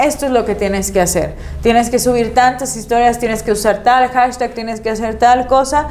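A woman talks in a high voice with hardly any pauses, amid audible room echo and noticeable background noise. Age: 30s. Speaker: content creator. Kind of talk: casual chat.

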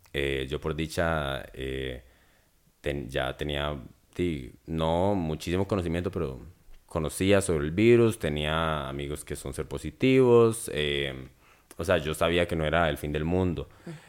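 A man with a very deep, low voice talks fairly slowly, his pitch varying in an ordinary way, on a very clean recording where the background is silent. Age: 20s. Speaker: drag performer. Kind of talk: casual chat.

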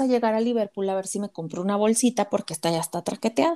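Her tone dark and mellow, a woman talks at a fairly quick pace with ordinary pitch variation. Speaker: podcast co-host. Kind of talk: casual chat.

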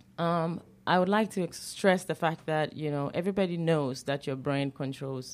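On a very clean recording with a silent background, a woman with a very deep, low pitch talks at a moderate pace with hardly any pauses. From Ghana. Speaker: chiropractor. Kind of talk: radio interview.

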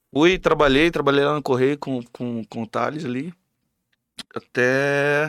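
With a plain, everyday voice and a fairly high pitch, a man speaks at a fairly slow pace with ordinary pitch variation, the sound dry and close with no echo. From Mato Grosso do Sul, Brazil (Camapuã). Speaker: songwriter and musician. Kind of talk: casual chat.

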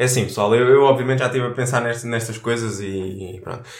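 A man speaks with a European Portuguese accent. Room echo is audible in the recording. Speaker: podcast co-host. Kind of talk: casual chat.

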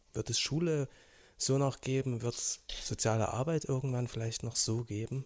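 A plain, everyday voice from a man at medium pitch, moderate pace and fairly even intonation, in a very clean recording with a silent background. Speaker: school social worker. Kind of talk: casual chat.

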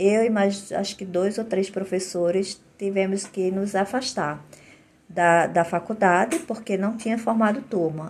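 Fairly slow, somewhat breathy speech from a woman. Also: medium pitch for a woman, ordinary pitch variation. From Olinda, Pernambuco, northeastern Brazil. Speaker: integrative therapist and podcaster. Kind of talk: personal testimony monologue. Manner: halting, with frequent fillers and repetitions.

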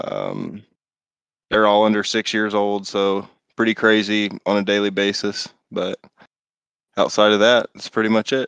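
A man with an American accent and a fairly low pitch talks at a fairly slow pace in a monotone, flat intonation, with long, frequent pauses and a dry, close sound with no echo. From Indianapolis, US Midwest. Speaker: racing league owner. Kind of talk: casual interview.

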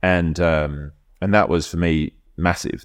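A man with an Australian accent speaks very slowly in a very deep, low voice with fairly even intonation. The recording is very clean, with a silent background. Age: 50s. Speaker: rowing coach. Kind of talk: casual chat.

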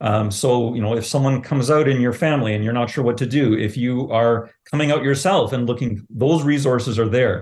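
Somewhat breathy, a man talks at a fairly quick pace with a Canadian accent. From Southern Ontario. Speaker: pride organization president, teacher. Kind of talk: interview.

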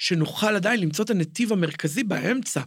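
Moderately paced speech from a man, high in pitch, with pitch that varies in an ordinary way. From Israel, Jerusalem. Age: 40s. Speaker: cultural entrepreneur and theatre director. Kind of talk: podcast interview. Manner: halting.

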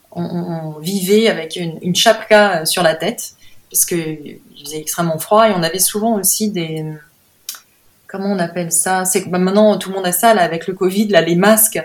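Speaking at a fairly slow pace with long, frequent pauses, a woman talks in a medium pitch. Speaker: painter. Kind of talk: interview. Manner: halting.

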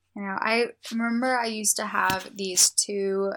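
A woman with an American accent and a normal speaking voice talks at a moderate pace with fairly even intonation. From US, Indian family. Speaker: podcast co-host, college student. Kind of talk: casual chat.

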